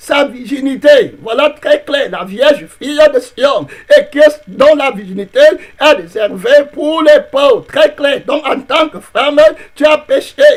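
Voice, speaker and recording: Speaking very slowly, a man uses an extremely high pitch and lively intonation. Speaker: pastor. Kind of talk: sermon.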